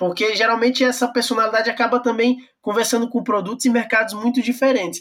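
This man speaks with an extremely high pitch. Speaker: podcast host. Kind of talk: interview.

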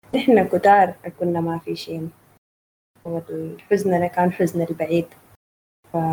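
Speaking at a very slow pace with long, frequent pauses, a woman with a Sudanese accent has a somewhat breathy, dark, mellow tone, a fairly low pitch, fairly even intonation, and big swings in loudness. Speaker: session host and poetry reader. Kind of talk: poetry reading and moderating a literary evening. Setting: online video call with audience.

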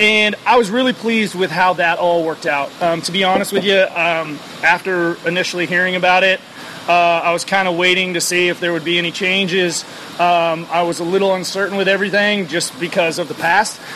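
Noticeable background noise sits behind a man with a high pitch. He speaks at a fairly quick pace with fairly even intonation. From Oregon, Portland. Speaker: brewery owner. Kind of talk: casual interview. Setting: at a brewery.

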